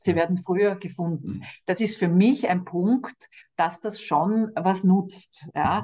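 Somewhat breathy and dark, mellow in tone, a woman speaks at a very slow pace with ordinary pitch variation. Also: medium pitch for a woman. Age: 50s. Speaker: cancer charity director. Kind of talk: interview.

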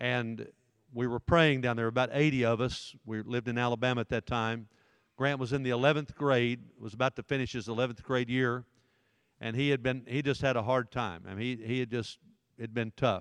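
A man of medium pitch talks at a fairly quick pace with a Southern US accent. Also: fairly even intonation, dry, close sound with no echo, quiet background. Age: 60s. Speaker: pastor. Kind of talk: sermon-style talk to teenage boys. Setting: church room with live audience. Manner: forceful, in-your-face.

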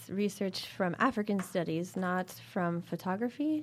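A woman has an ordinary speaking voice at a medium pitch. She talks at a fairly slow pace with lively intonation. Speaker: art historian. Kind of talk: interview conversation.

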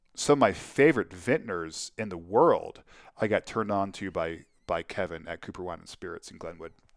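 A normal speaking voice, fairly quick and lively in intonation, with big swings in loudness on a very clean recording with a silent background. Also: man, fairly low pitch for a man. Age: 50s. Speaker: winemaker. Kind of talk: casual chat.

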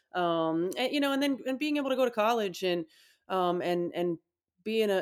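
A woman with a Midwestern American accent, moderate pace, ordinary pitch variation, and a very clean recording with a silent background. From Indiana, US Midwest. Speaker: basketball head coach. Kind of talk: interview.

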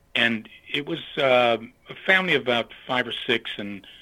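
This voice has an American accent and very wide pitch swings. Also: man. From western Pennsylvania, US. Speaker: retired church leader. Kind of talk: interview. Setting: phone call. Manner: halting.

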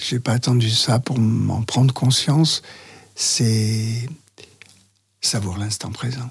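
Somewhat breathy and at medium pitch, a man talks at a very slow pace with fairly even intonation and long, frequent pauses. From France, Lyon area. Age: 70s. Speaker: interview guest recounting his life. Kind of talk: personal testimony interview. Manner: halting.

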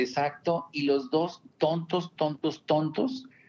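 Very slow male speech, fairly high in pitch, with ordinary pitch movement. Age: 50s. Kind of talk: interview. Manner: halting.

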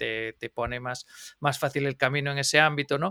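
Over a dry, close sound with no echo, a man with an unremarkable speaking voice talks at a fairly quick pace, his fairly high pitch following a fairly even intonation. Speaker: podcast co-host. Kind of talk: podcast interview. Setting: remote call.

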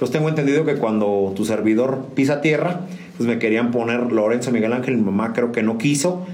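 Noticeable background noise and audible room echo accompany a man talking at a fairly quick pace and medium pitch. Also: ordinary pitch variation, very even loudness. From San Juan del Río, Querétaro, Mexico. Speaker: musician. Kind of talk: casual interview. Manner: halting, frequent fillers and repetitions.

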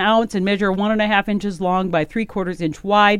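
A woman talks at a fairly quick pace in an Upper Midwest US accent. The background is quiet. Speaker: radio host. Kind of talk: casual radio chat. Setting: radio studio.

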